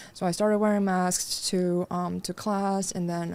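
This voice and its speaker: A woman talks at a fairly slow pace in a fairly low pitch. Her intonation is monotone and flat, and the recording is very clean with a silent background. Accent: Chinese. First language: Mandarin Chinese. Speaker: fashion designer. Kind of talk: podcast interview. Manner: hesitant, many fillers.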